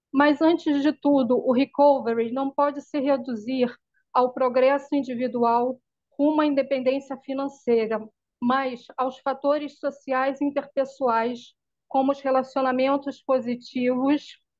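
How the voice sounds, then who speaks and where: A woman speaks fairly slowly at a high pitch, her delivery monotone and flat. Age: 40s. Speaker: mental health service user presenting in study group. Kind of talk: reading aloud a prepared summary.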